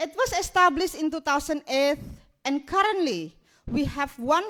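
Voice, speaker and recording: A woman speaks with an Indonesian accent and a high pitch. Her intonation is lively. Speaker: migrants rights activist. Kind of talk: keynote speech. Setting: stage with audience.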